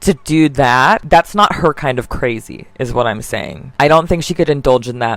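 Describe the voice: The pace is moderate. Pitch variation is ordinary. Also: woman.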